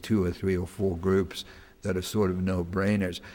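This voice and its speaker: With a slight South African accent, a man speaks at a moderate pace in a very deep, low voice with monotone, flat intonation. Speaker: human rights lawyer. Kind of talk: Q&A talk to an audience. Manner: repetitive stammering restarts.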